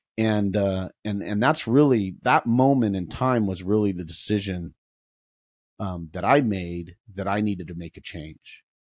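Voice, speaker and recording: An unremarkable speaking voice, a man's at a fairly low pitch, unfolds at a fairly slow pace on a very clean recording with a silent background. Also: ordinary pitch variation. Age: 50s. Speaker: tech executive, former coder. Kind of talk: casual chat.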